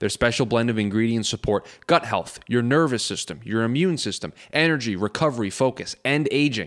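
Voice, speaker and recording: Speaking fairly quickly at a medium pitch, a man uses a normal speaking voice. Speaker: producer reading ads. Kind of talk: casual banter, ad read.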